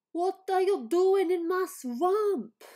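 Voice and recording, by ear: A woman speaks in a put-on character voice. Her pitch is extremely high.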